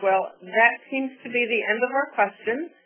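An unremarkable speaking voice, moderate in tempo and ordinary in pitch variation. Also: woman. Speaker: webinar moderator. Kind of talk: formal webinar moderation. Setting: webinar audio broadcast.

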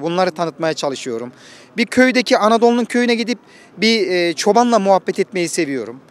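A man's high-pitched voice in a dry sound with no echo. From Konya, Turkey. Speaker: former Turkish teacher, content creator. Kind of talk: casual talk to camera, local travel vlog. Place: street. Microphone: handheld.

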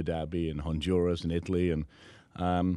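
With a dark, mellow tone and a very deep, low pitch, a man speaks in a flat monotone, the sound dry with no echo and the background quiet. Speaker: guest. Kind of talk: interview answer. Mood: warm, earnest, grateful. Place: studio. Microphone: studio mic.

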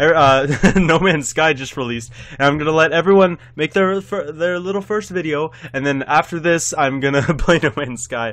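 The background is quiet as a man speaks. His pace is moderate and his pitch variation ordinary. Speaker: gaming youtuber. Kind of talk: gameplay commentary. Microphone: webcam.

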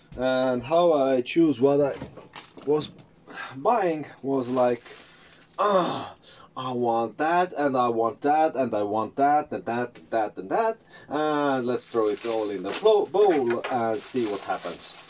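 Over light background noise, a man with a non-native accent talks at a very slow pace with lively intonation. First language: not English. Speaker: YouTuber making a cooking video. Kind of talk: casual vlog tutorial. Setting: home kitchen. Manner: hesitant, many fillers. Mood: playful, amused. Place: kitchen. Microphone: phone near.

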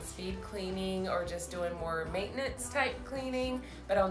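Woman at a fairly slow pace, music in the background. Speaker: home cleaning vlogger. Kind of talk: voice-over narration of a clean-with-me vlog.

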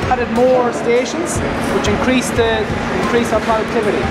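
Music plays in the background as a man speaks at a fairly quick pace. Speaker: factory tour guide. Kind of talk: guided tour explanation. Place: factory. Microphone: camera far.

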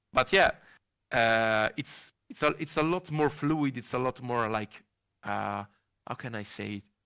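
A man with an Italian accent speaks at a fairly slow pace in a bright, sharp tone against a quiet background. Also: ordinary pitch variation. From Italy, Monza; Italy. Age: 20s. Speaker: sim racing wheel maker; podcast guest. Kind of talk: interview. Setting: video call. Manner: halting. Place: home room. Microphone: headset.

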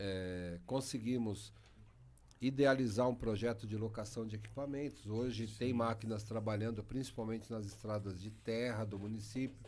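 A man's fairly low pitch moves along with fairly even intonation at a fairly slow pace. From Brazil, Embu-Guaçu, São Paulo state; São Paulo state, Brazil. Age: 50s. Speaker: mayor. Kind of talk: interview conversation. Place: studio. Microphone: studio mic.

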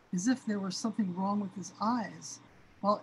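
The intonation is fairly even. It comes in a natural reading voice.

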